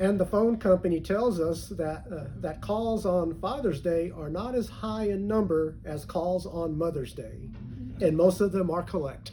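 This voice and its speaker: A man's high voice moves at a fairly slow pace, with pitch varying in an ordinary way. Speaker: preacher. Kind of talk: sermon.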